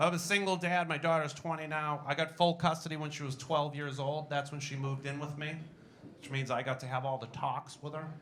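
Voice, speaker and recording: With audible room echo and noticeable background noise, a man talks fairly quickly at a fairly high pitch in a Boston accent. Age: 40s. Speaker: stand-up comedian. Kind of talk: stand-up. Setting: stage with audience.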